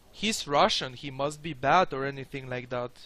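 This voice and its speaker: Over noticeable background noise, a man with a non-native accent speaks at a fairly high pitch. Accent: foreign accent, milder than before. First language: not English. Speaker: video game streamer. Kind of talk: live gameplay commentary. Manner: casual, hesitant.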